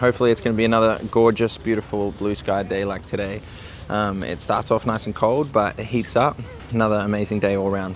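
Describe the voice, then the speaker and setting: A man with an Australian accent, fairly low-pitched, at a fairly quick pace with fairly even intonation, over noticeable background noise. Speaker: gardening vlogger. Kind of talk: vlog. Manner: casual with fillers.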